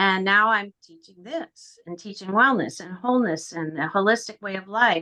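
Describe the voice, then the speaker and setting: Bright and sharp in tone, a woman talks at a moderate pace with medium pitch, ordinary pitch variation, hardly any pauses and big swings in loudness. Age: 70s. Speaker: wellness instructor. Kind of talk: casual group video call introduction.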